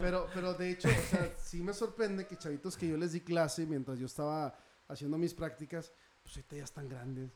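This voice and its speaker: A man speaks at a fairly quick pace with a high pitch and ordinary pitch variation. His loudness swings widely. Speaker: actor. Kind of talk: casual chat.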